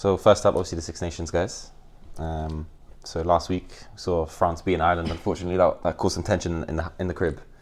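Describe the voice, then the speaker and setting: Speaking at a fairly quick pace, a man with a London accent has a very deep, low pitch. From London, England. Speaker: podcast host, student rugby player. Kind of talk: casual chat.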